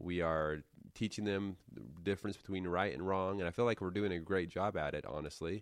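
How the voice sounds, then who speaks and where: Over a quiet background, a man speaks with a very deep, low pitch and ordinary pitch variation. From Utah-Arizona border, US. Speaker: former FLDS member, YouTube creator. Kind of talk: casual interview, storytelling.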